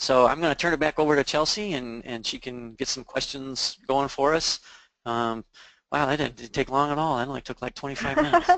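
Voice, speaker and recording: Fairly high-pitched male voice with fairly even intonation at a fairly quick pace. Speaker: IT services presenter. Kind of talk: webinar presentation. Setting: online webinar. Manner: fast.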